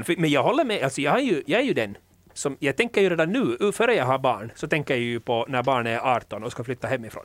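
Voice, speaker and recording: A man with a fairly high pitch, an ordinary speaking voice, and a fairly quick pace. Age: 30s. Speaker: podcast host. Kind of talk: casual chat.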